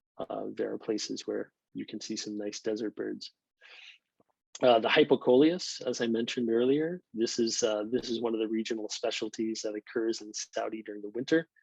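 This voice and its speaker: With an American accent, a man speaks at a moderate pace and medium pitch in an ordinary speaking voice, with ordinary pitch variation and big swings in loudness, captured in a dry, close sound with no echo. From northeastern United States. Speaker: birder and English instructor. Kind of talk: online presentation talk. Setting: video call.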